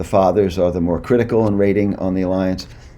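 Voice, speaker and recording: A man speaks in a dark, mellow tone. There is audible room echo around him. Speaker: clinical psychologist. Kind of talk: lecture. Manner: fast.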